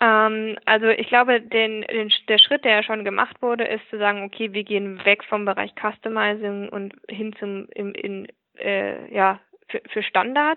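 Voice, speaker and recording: A woman speaks at a fairly slow pace in a monotone, flat intonation. Her pitch is fairly high. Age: 20s. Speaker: business process manager. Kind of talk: interview. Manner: hesitant with fillers.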